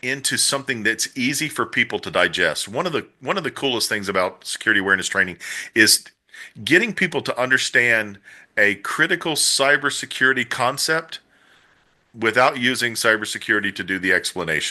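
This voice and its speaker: Against a quiet background, the tone comes across bright and sharp. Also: man. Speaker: chief information security officer. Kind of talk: interview. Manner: halting, many fillers and repetitions.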